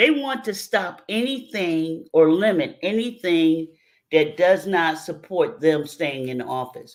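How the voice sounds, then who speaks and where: A woman speaks in a New York accent with a very deep, low pitch. Her pitch swings very widely. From New York City, South Bronx. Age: 60s. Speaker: mitigation specialist. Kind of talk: radio interview.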